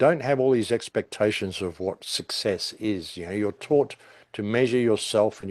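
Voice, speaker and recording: A man with an Australian accent, dry and close with no echo, against a quiet background. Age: 60s. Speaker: conspiracy commentator. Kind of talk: podcast interview. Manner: animated.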